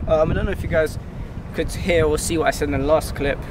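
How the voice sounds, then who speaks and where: Over noticeable background noise, a man speaks very fast in a dry sound with no echo. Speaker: calisthenics creator. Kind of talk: casual vlog chat. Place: street.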